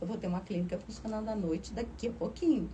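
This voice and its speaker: Audible room echo surrounds a woman speaking at a very fast pace. Her pitch is medium, with ordinary pitch variation. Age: 60s. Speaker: university professor and administrator. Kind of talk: radio interview.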